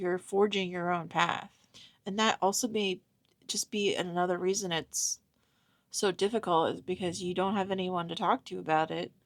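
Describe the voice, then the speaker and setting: A strong Pittsburgh accent at a moderate pace, dry and close with no echo. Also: woman. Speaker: intuitive reader / medium. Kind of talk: channeled tarot-style reading to camera. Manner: halting, filler-heavy casual speech.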